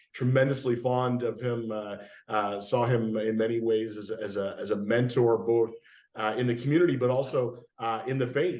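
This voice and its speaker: Over audible room echo, a man with a Canadian accent speaks at a moderate pace in a medium-pitched voice with fairly even intonation. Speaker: pastor. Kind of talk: interview. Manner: halting, many fillers.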